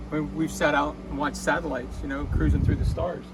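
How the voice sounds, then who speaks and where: A man is talking. Noticeable background noise and audible room echo accompany him. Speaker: DIY car mechanic video host. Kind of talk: tutorial. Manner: casual.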